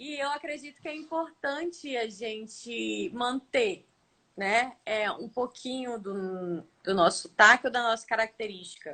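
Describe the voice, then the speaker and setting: A woman talks with a fairly high pitch and a bright, sharp tone. Her loudness swings widely and her intonation is lively. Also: fairly slow pace. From Amazonas, Brazil. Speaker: TV reporter. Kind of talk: casual interview. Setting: Instagram live video call.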